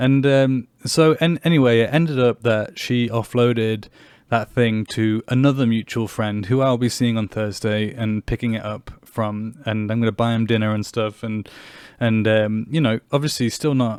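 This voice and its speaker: A man in an English accent speaks at a medium pitch. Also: moderate pace. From England. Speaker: podcast host. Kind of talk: personal monologue podcast. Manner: animated.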